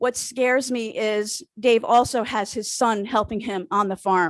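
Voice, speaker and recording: The background is quiet as a woman speaks. Her pitch is fairly high and her intonation fairly even. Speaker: town resident. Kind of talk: public comment at town meeting. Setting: town board meeting room. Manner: loud.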